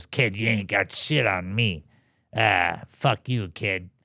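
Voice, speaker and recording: Put-on character voice, raspy, at a fairly slow pace with ordinary pitch variation and very even loudness, on a very clean recording with a silent background. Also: man, fairly low pitch for a man. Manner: gruff, teasing.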